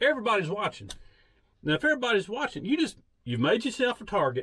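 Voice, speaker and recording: Someone talks at a very fast pace with a Southern US accent. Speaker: vlogger, former law enforcement. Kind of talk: casual storytelling monologue. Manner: loud.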